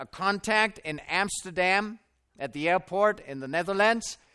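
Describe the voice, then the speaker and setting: A man with a German accent, his high-pitched voice raised and projected, bright and sharp in tone, lively in intonation, at a moderate pace on a very clean recording with a silent background. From Germany (Stuttgart). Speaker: preacher. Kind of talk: sermon with personal testimony. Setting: tent at a camp meeting with audience.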